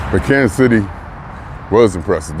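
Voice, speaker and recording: A man speaks over noticeable background noise. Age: 60s. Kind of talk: casual talk to camera. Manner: lively.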